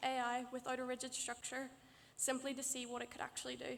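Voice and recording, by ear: A woman's high voice at a fairly quick pace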